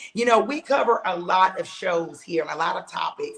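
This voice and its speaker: This is a woman with a normal speaking voice, talking at a moderate pace with ordinary pitch variation. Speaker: podcast host. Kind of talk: podcast show opening.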